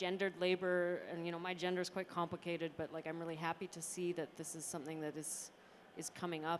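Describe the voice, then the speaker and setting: A woman speaks with a fairly low pitch. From Canada, Calgary, Alberta. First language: Turkish. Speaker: artist. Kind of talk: panel talk.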